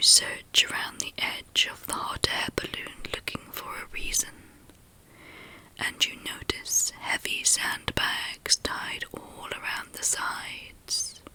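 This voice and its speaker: Someone is whispering at a very slow pace. Noticeable background noise is audible. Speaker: ASMR meditation guide. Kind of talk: guided meditation. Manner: whispered, soft-spoken, slow.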